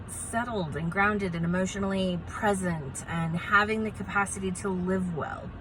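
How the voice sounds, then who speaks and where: A woman is speaking. Her tone is animated. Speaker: positive psychologist. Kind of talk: educational talk to camera.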